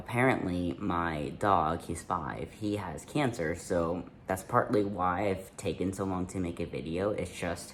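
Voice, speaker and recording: At a fairly slow pace, a man talks in a very deep, low pitch. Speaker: youtuber. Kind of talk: casual Q&A monologue. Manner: relaxed, conversational.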